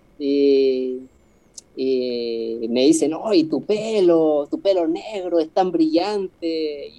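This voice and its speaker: This man has a dark, mellow tone and a fairly high pitch, with ordinary pitch variation. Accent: Chilean. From Chile, Patagonia (Puerto Cisnes). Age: 30s. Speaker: street musician, accordion player. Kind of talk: casual interview.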